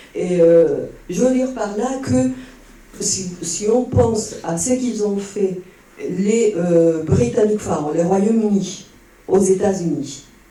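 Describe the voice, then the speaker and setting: High-pitched man at a very slow pace with lively intonation, amid noticeable background noise and audible room echo. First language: Spanish (speaking French). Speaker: audience member. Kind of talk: Q&A comment at a conference. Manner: halting, many hesitations.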